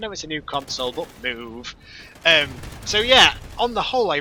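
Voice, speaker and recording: With a northern English accent, a man talks at a fairly quick pace with lively intonation. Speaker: gaming commentator. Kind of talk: gameplay commentary. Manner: casual, rambling with fillers.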